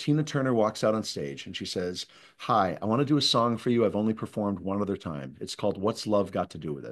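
Over a quiet background, a man talks at a very fast pace with lively intonation. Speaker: guest, speaker. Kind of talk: interview answer. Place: home room. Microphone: video call.

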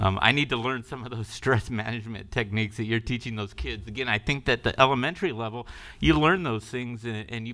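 This man talks at a fairly quick pace in a bright, sharp tone. His pitch varies in an ordinary way against a quiet background. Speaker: school board president. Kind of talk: chairing a public meeting. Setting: board meeting room with audience. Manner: formal. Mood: warm, appreciative. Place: meeting room.

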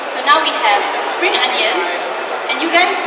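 There is audible room echo and loud background noise as a woman speaks. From Singapore. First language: English and Mandarin Chinese. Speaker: TV food host. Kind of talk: cooking demonstration to children at live event. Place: stage.

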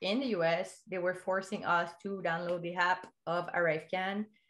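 In a Quebec accent, a woman talks at a fairly low pitch with monotone, flat intonation. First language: French. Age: 20s. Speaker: education product distributor. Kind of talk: personal testimony in casual interview. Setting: remote call. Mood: animated, gesturing storytelling. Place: home room. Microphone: earbuds.

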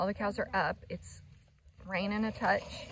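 A woman's fairly bright tone comes through with vocal fry.

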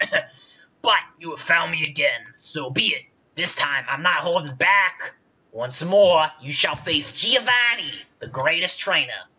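A raspy, gravelly put-on character voice sits at a middle pitch. The pace is fairly slow. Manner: menacing, grandiose.

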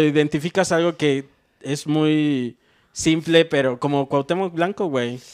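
Against a quiet background, a man with a Mexican accent speaks very slowly at a fairly high pitch, with ordinary pitch variation. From Mexico. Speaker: comedian. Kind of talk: casual chat. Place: home room. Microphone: handheld.

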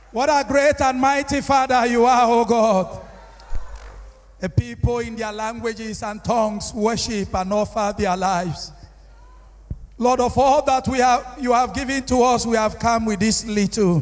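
Moderate pacing and ordinary pitch variation from a man. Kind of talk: prayer. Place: church. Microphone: handheld.

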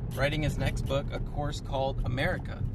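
A man keeps a moderate pace amid loud background noise, the sound dry with no echo. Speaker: golf vlogger. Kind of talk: casual talk to camera. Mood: relaxed, upbeat. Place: car. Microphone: phone near.

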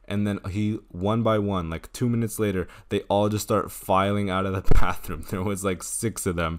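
A man with an ordinary speaking voice talks at a moderate pace in a fairly low pitch. The background is quiet. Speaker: gaming storytime creator. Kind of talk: casual storytime narration.

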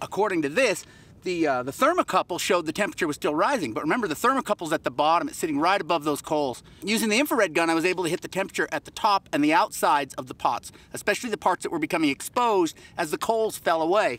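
Talking at a very fast pace, a man with a high pitch uses lively intonation, and the sound is dry with no echo. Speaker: pottery instructor. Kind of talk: tutorial. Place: open country.

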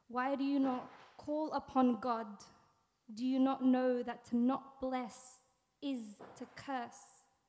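Delivered in an Australian accent, the speech has a dark, mellow tone, monotone, flat intonation, a very slow pace and long, frequent pauses. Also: woman, high pitch for a woman. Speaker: spoken word poet. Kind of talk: spoken word poetry performance. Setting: stage with audience. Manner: deadpan, wry intro, then intense and deliberate delivery. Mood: earnest, intense, questioning. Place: stage. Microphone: studio mic.

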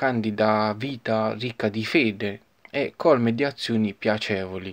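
A man with a normal speaking voice talks at a medium pitch and a fairly slow pace, with ordinary pitch variation. The background is quiet. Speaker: poet and channel host. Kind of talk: poetry reading aloud. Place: home room. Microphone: phone near.

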